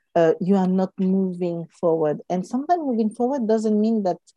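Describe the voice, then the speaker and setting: Her tone is dark and mellow, with ordinary pitch variation at a moderate pace. The woman's sound is dry and close, with no echo. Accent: non-native. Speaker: podcast co-host. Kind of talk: casual chat.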